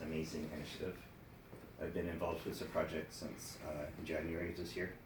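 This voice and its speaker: In a room with audible echo, a soft-spoken man talks at a fairly quick pace with a very deep, low pitch and monotone, flat intonation. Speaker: mental health program participant. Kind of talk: prepared speech.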